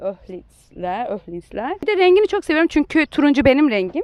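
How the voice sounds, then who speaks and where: A woman with a plain, everyday voice talks at a moderate pace with lively intonation. The sound is dry and close, with no echo. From Turkey. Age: 20s. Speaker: motorcyclist and engineer. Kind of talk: casual interview.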